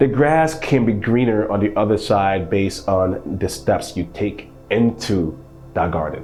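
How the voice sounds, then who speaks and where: With music in the background, a man speaks at a fairly low pitch with lively intonation. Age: 30s. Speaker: podcast host. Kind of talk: casual interview chat.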